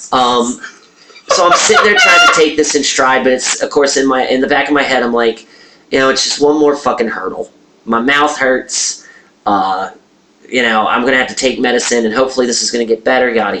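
Over noticeable background noise, a man speaks in an animated tone at a fairly quick pace. His pitch is medium, with ordinary variation. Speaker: podcast co-host. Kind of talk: casual comedic banter. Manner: animated, profane.

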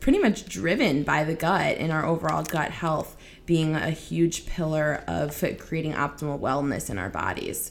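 A woman talks at a fairly slow pace with a fairly low pitch. Her pitch variation is ordinary. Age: 20s. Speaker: functional nutrition expert. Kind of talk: casual interview.

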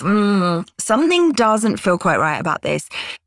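Fairly slow, fairly high-pitched woman's voice with a British accent, dry and close with no echo, on a very clean recording with a silent background. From Britain. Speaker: author and freelancer. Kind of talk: interview podcast.

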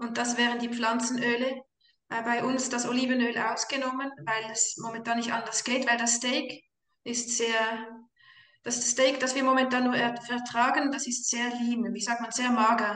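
A woman speaks at a high pitch in a Swiss accent, her intonation monotone and flat. There is audible room echo. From Switzerland. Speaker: mother on carnivore diet. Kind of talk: casual chat.

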